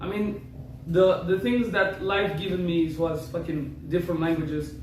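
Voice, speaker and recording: A man's high voice with fairly even intonation at a moderate pace, amid audible room echo and noticeable background noise. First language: Rifi (Berber). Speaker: content creator. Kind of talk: casual chat.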